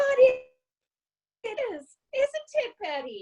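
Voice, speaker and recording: Using a put-on character voice, a woman squeaks at an extremely high pitch. The pace is fairly slow and the sound is dry and close with no echo. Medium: audio drama. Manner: chatty, motherly.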